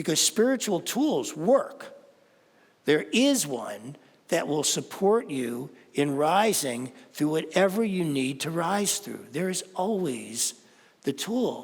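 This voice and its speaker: Pausing long and often, a high-pitched man talks at a very slow pace with very wide pitch swings. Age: 70s. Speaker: spiritual teacher. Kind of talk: sermon.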